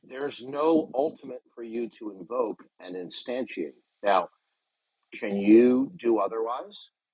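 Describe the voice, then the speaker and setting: A man speaks at a fairly slow pace with medium pitch and ordinary pitch variation, in an ordinary speaking voice. His loudness swings widely. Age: 60s. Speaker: debater. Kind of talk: heated debate. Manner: interrupting; forceful.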